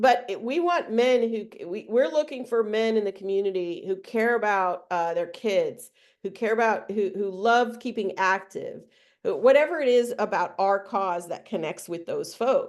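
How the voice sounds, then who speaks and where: Over a quiet background, a woman with a plain, everyday voice speaks at a moderate pace, her fairly high pitch showing ordinary variation. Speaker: trainer. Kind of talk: webinar training.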